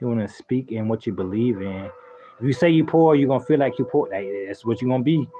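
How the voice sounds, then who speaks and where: With ordinary pitch variation, a man speaks at a very fast pace in a medium pitch. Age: 30s. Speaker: gaming live streamer. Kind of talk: casual live stream chat. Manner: animated.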